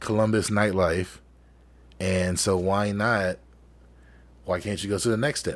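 A man talks in a fairly low voice. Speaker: podcast co-host and DJ. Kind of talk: casual chat. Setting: video call.

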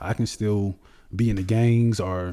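Dark and mellow in tone, a man's voice sits at a fairly low pitch with ordinary pitch variation. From New Orleans, Louisiana. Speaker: bodybuilder. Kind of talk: interview.

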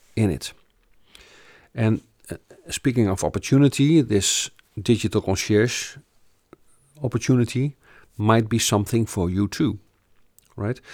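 With a Dutch accent, a man talks at a medium pitch and a fairly slow pace, leaving long, frequent pauses, his pitch varying in an ordinary way over a dry, close sound with no echo. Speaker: business coach / company founder. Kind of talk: sales pitch / information session. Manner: halting, many fillers and repetitions.

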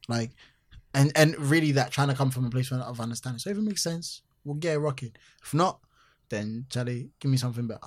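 The somewhat breathy voice moves at a very fast pace with ordinary pitch variation. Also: man, medium pitch for a man. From Ghana. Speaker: musician and entertainer. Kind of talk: casual interview chat. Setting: London.

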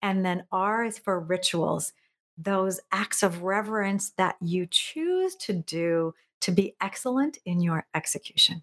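With a normal speaking voice, a woman at a medium pitch and ordinary pitch variation is heard in a very clean recording, silent background. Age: 50s. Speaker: productivity coach and keynote speaker. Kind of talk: interview conversation.

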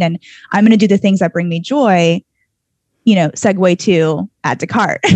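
A woman with an American accent and an unremarkable speaking voice talks at a moderate pace. Her pitch is fairly low with ordinary variation, and the sound is dry and close with no echo. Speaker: podcast host. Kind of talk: casual interview chat.

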